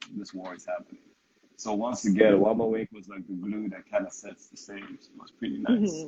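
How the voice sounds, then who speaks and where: At a moderate pace, a man talks in a Nigerian accent. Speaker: interviewer. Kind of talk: interview. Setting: Instagram live video stream. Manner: hesitant, many fillers.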